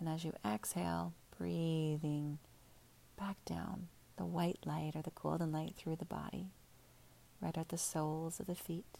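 A woman at a fairly slow pace, with a gentle, soothing tone and long, frequent pauses. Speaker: meditation guide. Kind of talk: guided meditation. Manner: slow, soothing, calm; gentle, unhurried, with pauses.

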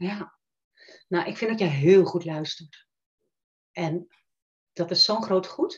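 The speaker is somewhat breathy and very slow, with long, frequent pauses and ordinary pitch variation. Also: woman, medium pitch for a woman. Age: 50s. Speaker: coach. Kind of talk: interview. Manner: hesitant, many fillers.

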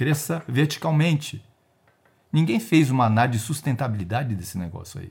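This voice has vocal fry and very wide pitch swings, moving at a fairly quick pace on a very clean recording with a silent background. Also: man, medium pitch for a man. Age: 60s. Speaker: retired risk analyst and geoscience researcher. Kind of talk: casual interview.

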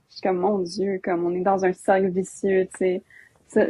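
Some breathiness runs through the voice. Its tempo is medium. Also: woman. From Alberta, Canada. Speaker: youth climate activist. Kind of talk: casual interview chat.

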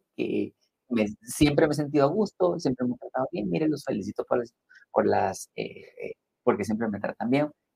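Recorded with a dry, close sound and no echo, a man with a medium pitch, a dark, mellow tone and vocal fry talks at a moderate pace with lively intonation. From Guatemala. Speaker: spa business executive. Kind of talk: interview conversation.

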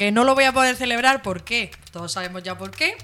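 Music can be heard in the background. The woman talks fairly quickly. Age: 20s. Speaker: radio co-host. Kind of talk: casual chat.

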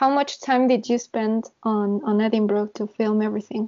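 Fairly quick speech in a Spanish accent. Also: woman. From Mexico. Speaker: podcast host in classical music industry. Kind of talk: bilingual interview.

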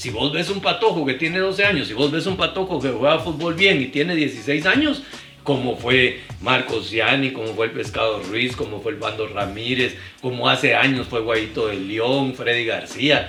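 Music plays in the background and the room echo is audible. A man at medium pitch talks at a moderate pace with lively intonation. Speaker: sports journalist. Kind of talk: casual interview chat.

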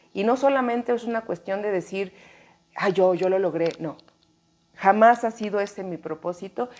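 Using a normal speaking voice, a woman talks at a moderate pace with ordinary pitch variation. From Mexico, Chiapas. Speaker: actress. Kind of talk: interview conversation. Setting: apartment in Mexico City.

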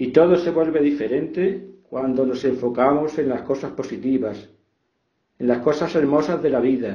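A man's fairly high voice is somewhat breathy and calm in tone. His pitch varies in an ordinary way. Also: moderate pace. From Spain, Extremadura (Fregenal de la Sierra). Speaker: author. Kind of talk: reflective talk on gratitude.

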